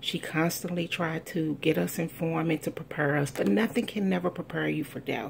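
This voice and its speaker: A woman with an American accent speaks at a fairly low pitch with vocal fry and ordinary pitch variation. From US Midwest, East St. Louis, Illinois. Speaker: eulogist speaking about her late mother. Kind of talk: eulogy.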